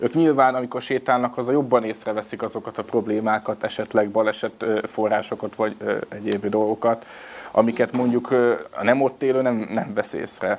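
Using a normal speaking voice, a man talks at a moderate pace with a medium pitch and fairly even intonation. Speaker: head of a public safety foundation. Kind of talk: panel discussion.

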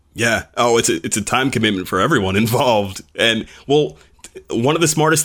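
Medium pitch, lively intonation and a normal speaking voice from a man. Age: 20s. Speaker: podcast host, former country radio host. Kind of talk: casual chat.

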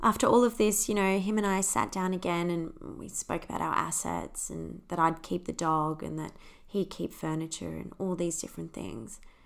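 A woman speaks at a moderate pace with an Australian accent. Her loudness swings widely. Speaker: podcast host. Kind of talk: personal storytelling monologue.

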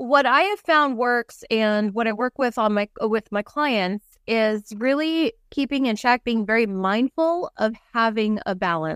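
A woman's fairly high voice, fairly slow yet with hardly any pauses and lively intonation, on a very clean, dry, close recording with no echo and a silent background. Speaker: mental health counselor. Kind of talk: casual interview chat.

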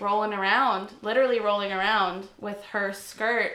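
A woman at a medium pitch speaks in a flat monotone with a bright, sharp tone, and the room echo is audible. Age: 20s. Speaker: podcast co-host. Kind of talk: casual chat.

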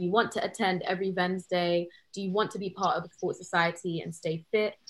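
A woman's somewhat breathy, medium-pitched voice with a London accent, monotone, flat intonation and a very fast pace. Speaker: university student. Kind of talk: casual chat.

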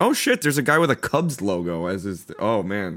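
Very wide pitch swings from a male speaker, on a very clean recording against a silent background. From Chicago. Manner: profane, joking.

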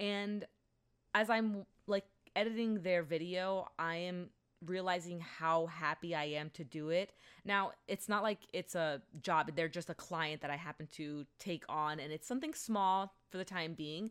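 A woman's voice with ordinary pitch variation on a very clean recording with a silent background. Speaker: podcast host. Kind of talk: solo podcast monologue, casual chat. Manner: fast talker, speaks too fast; high energy delivery though naturally low-key in person.

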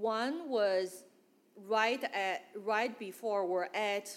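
A woman speaks with a Chinese accent. Her pitch varies in an ordinary way. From northeast China. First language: Mandarin. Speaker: church member. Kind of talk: testimony. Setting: church gathering with audience.

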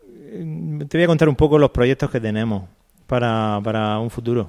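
A man speaks with lively intonation. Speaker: sports memorabilia collector. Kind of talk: casual interview. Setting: stadium exhibition room.

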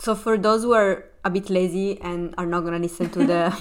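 A fairly low-pitched woman's voice at a moderate pace

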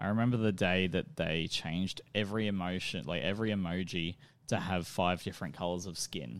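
This very clean recording has a silent background. The voice carries an Australian accent. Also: man, very deep, low pitch for a man, ordinary pitch variation, fairly quick pace. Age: 20s. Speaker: podcast host. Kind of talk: casual chat.

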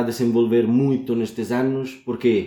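In a very clean recording with a silent background, a man with an Italian accent speaks at medium pitch in a monotone, flat delivery with a dark, mellow tone. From Sicily, Italy. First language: Italian (speaking Portuguese). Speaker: PhD student in chemistry. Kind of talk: interview. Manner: hesitant, many fillers.

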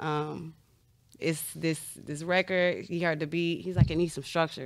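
Her intonation monotone and flat, a woman with an American accent speaks at a moderate pace with a fairly low pitch. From US Midwest, Chicago. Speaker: singer. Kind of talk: casual chat.

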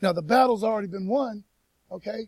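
At a fairly quick pace, a man talks in an animated tone. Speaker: preacher. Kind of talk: sermon. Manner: fast.

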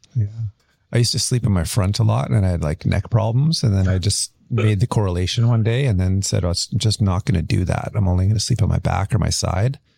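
At a fairly low pitch, a man speaks in a somewhat breathy voice with very even loudness and ordinary pitch variation. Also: fairly quick pace, dry, close sound with no echo. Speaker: podcast host. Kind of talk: casual interview.

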